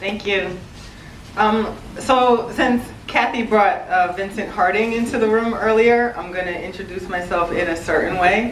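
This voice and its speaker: A woman speaks with an American accent. The room echo is audible, along with noticeable background noise. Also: medium pitch for a woman, ordinary pitch variation, moderate pace. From Cambridge, Massachusetts, US. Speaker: youth nonprofit director. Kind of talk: community meeting presentation.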